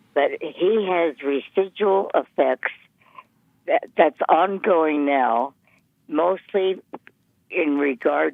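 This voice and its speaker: A woman speaks very slowly in a very deep, low voice with ordinary pitch variation. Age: 90s. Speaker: caller. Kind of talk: phone call-in question.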